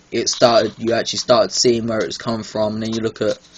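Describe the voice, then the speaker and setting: A man talks at medium pitch in a monotone with flat intonation. Noticeable background noise runs underneath. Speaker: gaming YouTuber. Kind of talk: video game review. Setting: home recording, bad lighting. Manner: frequent filler ums, hesitant.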